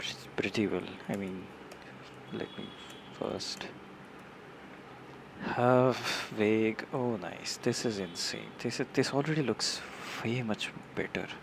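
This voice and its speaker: A man speaking at a very slow pace, with long, frequent pauses and noticeable background noise. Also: medium pitch for a man, ordinary pitch variation. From India. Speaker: software developer streamer. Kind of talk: live coding tutorial. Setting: live stream. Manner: halting, many repetitions.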